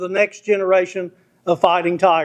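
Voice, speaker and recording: Loud speech in an American accent over a quiet background. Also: man. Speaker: award presenter. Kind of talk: formal speech introducing an honoree. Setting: banquet hall with audience, at a microphone.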